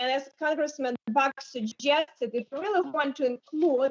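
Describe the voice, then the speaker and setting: This woman talks at a moderate pace with a high pitch, ordinary pitch variation and a non-native accent. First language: not English. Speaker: congresswoman. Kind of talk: committee debate remarks.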